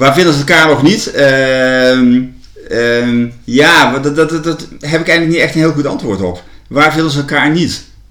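Against audible room echo, a man talks at a fairly slow pace in a fairly high voice with a bright, sharp tone. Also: ordinary pitch variation. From Netherlands, Gelderland (Land van Maas en Waal). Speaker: university ceremonial officer. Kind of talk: interview. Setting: at a kitchen table. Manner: halting, many repetitions.

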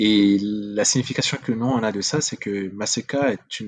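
A man with a Central African accent talks at a very slow pace, his pitch fairly low with ordinary variation. The sound is dry and close, with no echo. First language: Sango (speaking French). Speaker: video game entrepreneur. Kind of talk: interview conversation.

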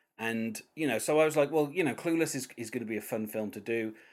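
A man with a British accent talks at a very fast pace with ordinary pitch variation. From Britain. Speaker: podcast host. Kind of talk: casual interview chat. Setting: remote call.

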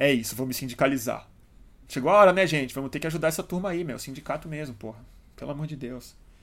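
A man talks at a very fast pace in a fairly high pitch, his tone animated and his pitch varying in an ordinary way. His loudness swings widely. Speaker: journalist and live show host. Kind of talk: live stream chat with audience. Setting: live stream at home. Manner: casual and animated.

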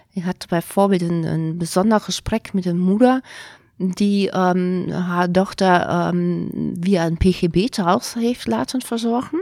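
Speaking very slowly with a German accent, a woman has a dark, mellow tone at medium pitch with ordinary pitch variation, the sound dry and close with no echo. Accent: German accent in Dutch. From Germany. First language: German (speaking Dutch). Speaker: care organisation director. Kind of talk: interview. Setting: studio, at a table. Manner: halting, many fillers and switches into German.

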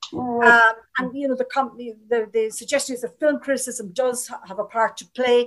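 A woman with an Irish accent, high in pitch, at a fairly quick pace with fairly even intonation and big swings in loudness. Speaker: panel chair and moderator. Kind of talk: moderated panel webinar. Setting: online webinar.

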